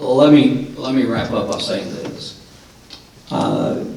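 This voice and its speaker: A man with a Tennessee accent at a fairly slow pace, with audible room echo and noticeable background noise. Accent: Southern US (Tennessee). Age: 50s. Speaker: radio host and forum moderator. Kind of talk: closing remarks at a political forum. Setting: high school auditorium with audience, broadcast live.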